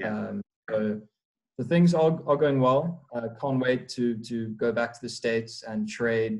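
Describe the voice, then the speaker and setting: A man is speaking. He has a South African accent. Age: young. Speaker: prop trader. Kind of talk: casual interview. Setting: remote call.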